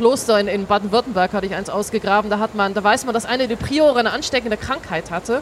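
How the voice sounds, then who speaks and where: A woman talks at a very fast pace with hardly any pauses, her fairly high pitch showing ordinary variation over noticeable background noise. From Switzerland. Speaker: archaeologist, excavation leader. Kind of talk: interview on site. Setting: outdoors at an excavation site.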